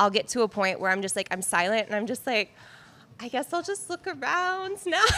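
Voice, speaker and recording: A woman talks at a fairly quick pace over noticeable background noise. Her high pitch moves in very wide swings. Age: 20s. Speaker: photographer. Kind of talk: casual chat.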